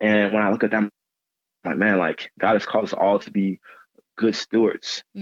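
At a fairly quick pace, a man with an American accent and an ordinary speaking voice talks at a fairly low pitch, recorded dry and close with no echo. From Texas, Dallas area. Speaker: personal trainer and former college football player. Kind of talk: podcast interview.

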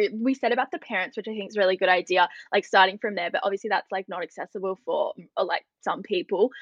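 In an Australian accent, a woman talks very fast with lively intonation, the sound dry and close with no echo. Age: 20s. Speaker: journalist and student women's committee organiser. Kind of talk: casual interview.

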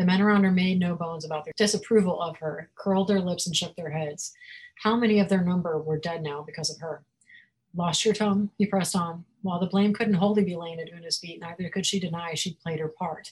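Talking very fast, a woman sounds somewhat breathy, with a fairly low pitch and fairly even intonation. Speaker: fantasy author. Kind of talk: author interview with a reading from her book. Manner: laughs often, chatty.

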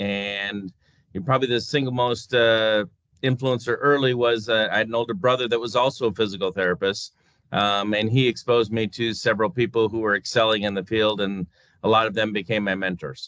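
An unremarkable speaking voice from a man, medium in pitch, with an American accent, fairly even intonation and a fairly quick pace. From US Midwest, North Dakota. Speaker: physical therapist and clinic CEO. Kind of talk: interview.

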